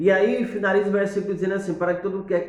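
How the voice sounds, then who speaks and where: Noticeable noise fills the background, and room echo is audible. The speaker is a man. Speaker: preacher giving tips. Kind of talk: tutorial. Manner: halting, with many fillers.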